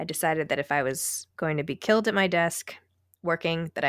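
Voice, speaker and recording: In a normal speaking voice with an American accent and fairly even intonation, the speaker comes through on a very clean recording with a silent background and a dry, close sound with no echo. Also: woman. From New York City. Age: 40s. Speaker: author and podcast host. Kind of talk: interview.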